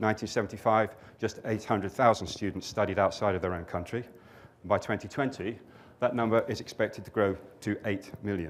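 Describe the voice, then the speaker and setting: In a British accent, a man with a fairly low pitch talks very fast with fairly even intonation, captured in a very clean recording with a silent background. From Britain. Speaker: company director. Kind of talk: conference presentation.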